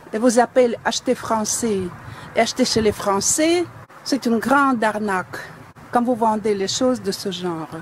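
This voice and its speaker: Over noticeable background noise, a woman with a fairly high pitch speaks at a fairly slow pace with long, frequent pauses. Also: ordinary pitch variation. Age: 60s. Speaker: dissatisfied customer reviewing a product. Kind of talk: product complaint video. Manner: indignant.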